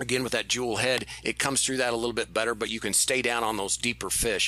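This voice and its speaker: Noticeable background noise behind a man talking at a very fast pace, his pitch medium. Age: 40s. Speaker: fishing podcast co-host. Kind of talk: casual chat.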